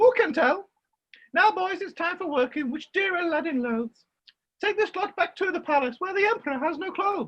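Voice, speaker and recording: A woman's put-on character voice, squeaky and extremely high-pitched, with lively intonation at a fairly quick pace. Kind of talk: pantomime dame comedy. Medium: stage play. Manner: bossy, theatrical.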